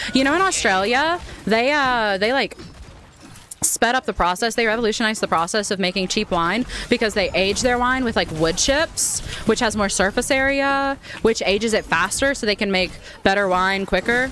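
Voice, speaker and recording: Over music in the background, a woman with an American accent speaks at a fairly high pitch with lively intonation. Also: moderate pace, very even loudness. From United States. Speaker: gaming streamer. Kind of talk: casual chat.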